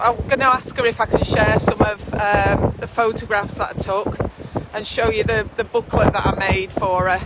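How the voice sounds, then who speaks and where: Over noticeable background noise, a woman with a Lancashire accent talks in a fairly high pitch with monotone, flat intonation. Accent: northern English (Lancashire). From northwest England. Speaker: midwife. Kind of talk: casual chat. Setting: outdoors.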